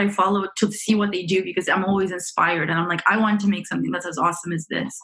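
Noticeable background noise runs under the recording. A woman talks at a very fast pace. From Romania. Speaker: software engineer on a music machine learning project. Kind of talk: interview.

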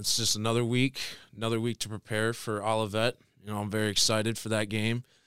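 Talking at a very fast pace, a man with a Midwestern American accent has a medium pitch and a bright, sharp tone, captured on a very clean recording with a silent background. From Michigan, Tecumseh. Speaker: college football player and ROTC cadet. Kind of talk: casual interview.

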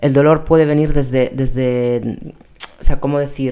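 Very deep, low female voice with a dark, mellow tone. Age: 30s. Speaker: personal trainer and pilates instructor. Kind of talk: casual monologue. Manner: halting, many fillers and repetitions.

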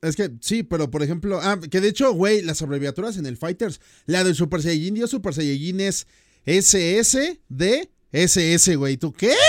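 A man's high-pitched, animated voice with a Mexican accent, at a fairly slow pace, on a very clean recording with a silent background. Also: lively intonation. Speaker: podcast host and YouTuber. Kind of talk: casual chat.

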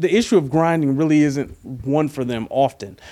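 On a very clean recording with a silent background, a man with a fairly high pitch and a dark, mellow tone speaks at a moderate pace. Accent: American. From Detroit, Michigan. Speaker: sports writer. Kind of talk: casual interview. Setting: in person.

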